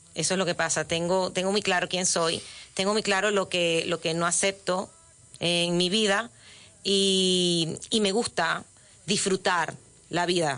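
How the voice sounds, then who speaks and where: The voice has a bright, sharp tone and monotone, flat intonation, holding very even loudness at a fairly slow pace. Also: woman, medium pitch for a woman. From Venezuela. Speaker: author and former radio presenter. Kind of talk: interview. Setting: radio studio. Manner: talkative, halting with repetitions.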